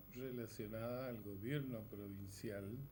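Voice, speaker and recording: A man's dark, mellow, somewhat breathy voice with audible room echo. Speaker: news show host. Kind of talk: news presenting.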